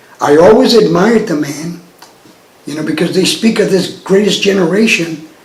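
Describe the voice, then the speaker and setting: A man with an American accent speaks at a moderate pace with a high pitch and ordinary pitch variation. There is audible room echo and noticeable background noise. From Texas, New Braunfels. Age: 70s. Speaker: retired lab technologist. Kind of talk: oral history interview.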